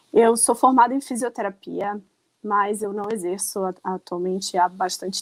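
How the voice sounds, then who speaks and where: The sound is dry and close, with no echo. The speech moves at a moderate pace with ordinary pitch variation. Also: woman. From Rio de Janeiro, Brazil. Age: 40s. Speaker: runner and online shop owner. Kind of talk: podcast interview.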